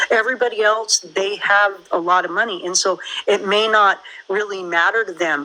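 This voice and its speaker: A woman speaks in a plain, everyday voice with fairly even intonation. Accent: American. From United States. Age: 50s. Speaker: caller. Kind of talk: casual chat.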